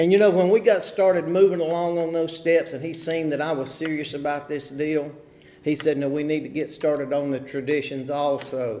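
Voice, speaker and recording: A man with a dark, mellow tone speaks at a fairly quick pace with fairly even intonation, and room echo is audible. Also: fairly high pitch for a man. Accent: North Carolina. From North Carolina, Huntersville near Charlotte. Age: 50s. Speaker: recovery meeting speaker. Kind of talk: recovery testimony. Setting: meeting hall at podium.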